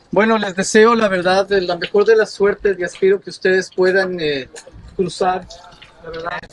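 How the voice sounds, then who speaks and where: A man speaks at a moderate pace. There is noticeable background noise behind him. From Ecuador. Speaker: journalist. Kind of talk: field interview.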